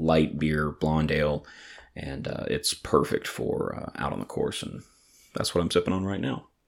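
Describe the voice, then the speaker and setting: A man talks in a Southern US accent at a very deep, low pitch. His pace is moderate and his intonation fairly even. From Atlanta, Georgia. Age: 30s. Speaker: podcast host and brewery owner. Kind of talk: casual solo podcast monologue. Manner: halting with many fillers.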